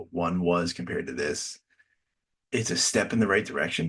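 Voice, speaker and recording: At a moderate pace, a man mumbles his words. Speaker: reality TV reaction host. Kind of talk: solo review commentary. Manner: mumbling; hesitant, many fillers and repeats.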